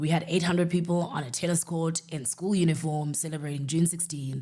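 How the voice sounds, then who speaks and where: A woman speaks with a South African accent and a fairly even intonation. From South Africa, Eastern Cape. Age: 30s. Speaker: podcast host, entrepreneur. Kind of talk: casual personal monologue.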